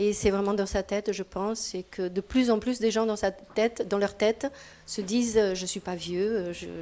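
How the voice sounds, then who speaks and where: A woman with a medium pitch and a dark, mellow tone speaks at a moderate pace. Her intonation is monotone and flat. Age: 60s. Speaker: participant at a public discussion on old age. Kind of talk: group discussion. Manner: halting.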